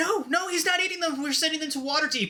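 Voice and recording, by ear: In a shrill, put-on character voice, a man speaks at a very fast pace with an extremely high pitch.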